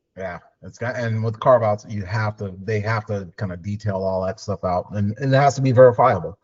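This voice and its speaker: Somewhat breathy and at a fairly low pitch, a man talks at a fairly quick pace with ordinary pitch variation. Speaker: finance advisory director. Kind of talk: video call Q&A. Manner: fast.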